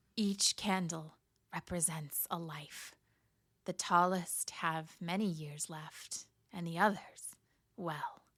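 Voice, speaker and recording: A woman's put-on character voice, raspy and hissing, fairly low in pitch, at a very slow pace with long, frequent pauses. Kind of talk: bedtime story. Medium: read story. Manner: menacing, stern.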